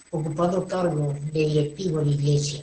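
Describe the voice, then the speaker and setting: Fairly even intonation at a fairly slow pace, with audible room echo. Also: man. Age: 60s. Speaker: pastor. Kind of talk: sermon. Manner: formal.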